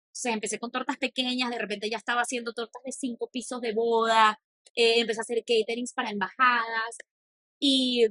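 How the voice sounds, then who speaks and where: The sound is dry and close with no echo as a woman speaks in a high pitch. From Venezuela. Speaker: cook and content creator. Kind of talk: podcast interview.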